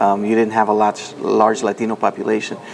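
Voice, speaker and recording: Speech moves at a moderate pace while noticeable noise is audible in the background. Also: man. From Nicaragua, then Washington DC from age six. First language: Spanish. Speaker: foundation president. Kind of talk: interview.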